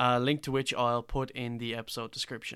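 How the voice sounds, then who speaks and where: A man speaks in a medium pitch with a bright, sharp tone. The recording is very clean, with a silent background. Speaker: podcast host. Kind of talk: interview discussion.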